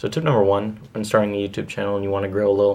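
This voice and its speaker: A man speaks in a fairly low pitch. His pace is fairly quick. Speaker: YouTuber giving channel-growth tips. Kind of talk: tutorial. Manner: monotone; casual with many fillers.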